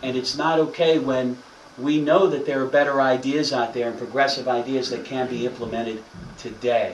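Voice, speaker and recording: A medium-pitched man talks at a moderate pace with fairly even intonation. Audible room echo and noticeable background noise are present. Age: 30s. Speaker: politician. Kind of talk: speech.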